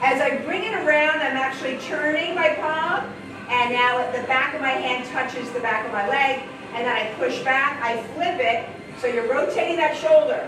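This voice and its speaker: Loud and energetic, a woman talks at a moderate pace in a high voice. Audible room echo and noticeable background noise fill the recording. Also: ordinary pitch variation. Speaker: physical therapist assistant and fitness instructor. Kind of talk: live group exercise instruction. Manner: energetic, encouraging.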